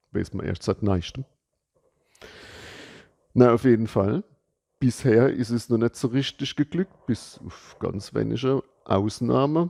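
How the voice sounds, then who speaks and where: A man with a medium pitch and a dark, mellow tone talks at a fairly slow pace, the sound dry and close with no echo. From Palatinate, Germany. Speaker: soil ecologist. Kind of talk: casual educational talk to camera. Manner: casual, humorous.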